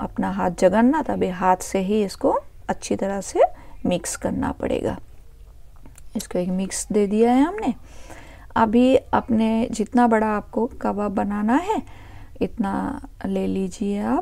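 The speech unfolds at a very slow pace. Long pauses come frequently. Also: woman. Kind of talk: tutorial. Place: kitchen. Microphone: phone near.

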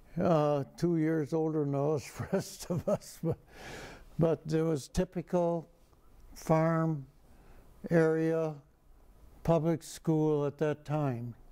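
A man with an American accent, fairly high and dark and mellow, at a very slow pace with long, frequent pauses and fairly even intonation against a quiet background. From rural Illinois. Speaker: war veteran. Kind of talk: oral history interview. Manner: halting. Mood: calm, reflective, wry. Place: studio. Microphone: lapel.

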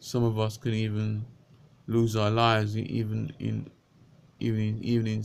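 Light background noise sits behind a man who speaks in a monotone, flat way. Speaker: vlogger and lay preacher. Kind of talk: fervent prayer; unscripted religious talk. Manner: fervent, pleading, repetitive; halting, with repeated words. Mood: earnest, pleading. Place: home room. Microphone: webcam.

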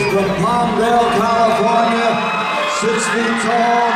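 Audible room echo, with crowd noise in the background. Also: man. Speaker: ring announcer. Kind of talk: event announcing. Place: stage. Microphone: pa.

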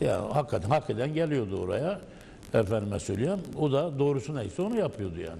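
Vocal fry runs through this man's fairly quick delivery as his pitch swings very widely. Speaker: former municipal council member. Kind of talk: panel discussion. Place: studio. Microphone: lapel.

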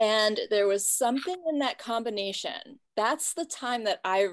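A woman speaks at a fairly slow pace with a quiet background. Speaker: host interviewer. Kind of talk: casual conversation. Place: home room. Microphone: video call.

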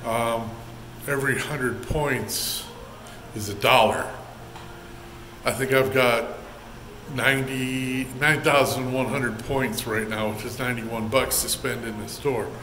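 A man at a fairly slow pace with long, frequent pauses, amid light background noise and audible room echo. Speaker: truck driver vlogger. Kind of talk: casual vlog chat. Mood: cheerful, relaxed, joking. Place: bathroom. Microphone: phone near.

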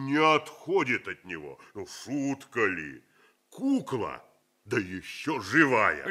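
This man puts on a character voice at a medium pitch. He talks at a fairly slow pace. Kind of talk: 1970s Soviet radio theatre. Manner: boastful, bustling, excited.

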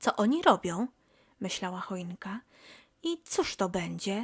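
An ordinary speaking voice: a woman at medium pitch, going at a fairly slow pace. The recording is very clean and the background silent. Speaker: audiobook narrator. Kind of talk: bedtime story reading aloud. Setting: home recording. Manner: soft, gentle, slow storytelling.

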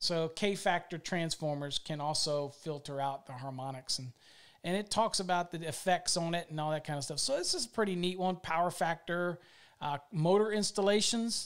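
Against a quiet background, a man with a high voice talks at a moderate pace with ordinary pitch variation. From Virginia. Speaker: electrical code instructor. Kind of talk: live product demo; live stream product demonstration. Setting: live video stream. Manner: casual. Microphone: studio mic.

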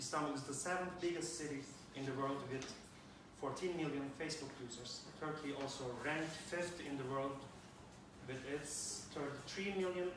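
Fairly even intonation comes through audible room echo and noticeable background noise. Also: man. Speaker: presenter. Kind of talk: conference talk. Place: classroom.

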